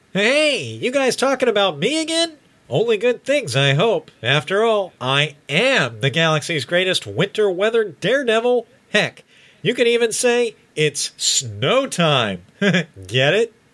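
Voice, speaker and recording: A man does a cartoonish character voice, high-pitched and fairly slow, with very wide pitch swings. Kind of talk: theatrical cartoon-style delivery. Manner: cocky, playful, punning.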